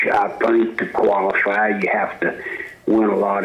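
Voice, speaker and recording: Amid audible room echo and noticeable background noise, a man with a Mississippi accent speaks at a very slow pace. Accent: Mississippi Southern US. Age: 60s. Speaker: football coach. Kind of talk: sports radio interview.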